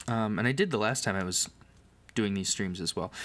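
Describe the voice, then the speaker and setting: A man speaks at a fairly quick pace with a fairly low pitch and ordinary pitch variation. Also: very clean recording, silent background. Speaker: livestreamer. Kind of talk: casual livestream chat while building. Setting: home livestream on camera. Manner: soft-spoken.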